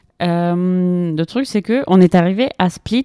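A woman in a Spanish accent at a very slow pace, medium pitch with ordinary pitch variation, dark, mellow tone, dry, close sound with no echo, very clean recording and a silent background. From Colombia, Bogotá. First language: Spanish (speaking French). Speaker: graduate student. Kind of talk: casual chat. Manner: halting.

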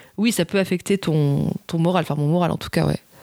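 A woman speaks at a fairly quick pace with fairly even intonation, her fairly low-pitched voice dark and mellow in tone. The recording is very clean with a silent background and a dry, close sound with no echo. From southern France. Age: 30s. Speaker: TV documentary director. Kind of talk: casual interview.

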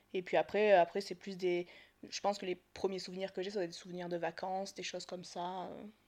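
Against a quiet background, a woman speaks at a medium pitch in a flat monotone, her loudness swinging widely. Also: fairly quick pace. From Marseille, southern France. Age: 30s. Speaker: podcast guest. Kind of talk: casual chat.

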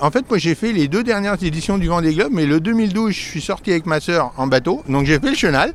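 Over noticeable background noise, a man with a high voice talks at a fairly quick pace with lively intonation and hardly any pauses. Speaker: sailing boat preparer, former archaeologist. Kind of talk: interview. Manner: halting.

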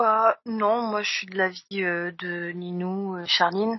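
Her intonation is fairly even. The woman's voice sits at a medium pitch. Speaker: podcast guest. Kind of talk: casual chat.

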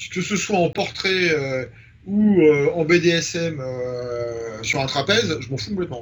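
Over noticeable background noise and audible room echo, a man with a fairly high pitch speaks at a very slow pace with lively intonation. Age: 50s. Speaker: photographer. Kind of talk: interview. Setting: home studio.

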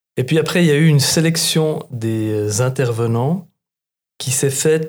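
A man speaks at a fairly slow pace in a medium pitch, his voice somewhat breathy. His pitch varies in an ordinary way, and the recording is very clean with a silent background. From Switzerland, Bernese Jura. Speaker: market gardener and trainer. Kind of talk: casual chat.

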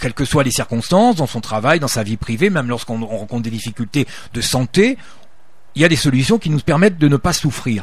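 This man talks at a fairly quick pace, his pitch medium and his voice somewhat breathy. His intonation is lively. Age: 60s. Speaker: retired soldier and ultra-trail runner. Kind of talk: radio interview. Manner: halting, many repetitions.

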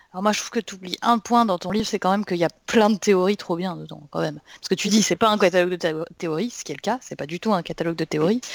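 A woman at a very fast pace with hardly any pauses. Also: medium pitch for a woman, ordinary pitch variation, dry, close sound with no echo. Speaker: podcast co-host.

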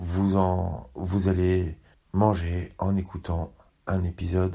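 The tone is dark and mellow, with monotone, flat intonation. Long, frequent pauses run throughout. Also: man. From Paris. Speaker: podcast host. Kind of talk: casual podcast narration.

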